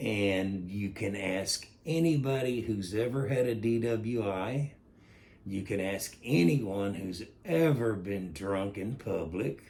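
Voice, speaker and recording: A man speaks very slowly in a fairly low pitch. His pitch varies in an ordinary way. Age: 60s. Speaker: vlogger giving opinion. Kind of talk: opinion monologue. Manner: halting.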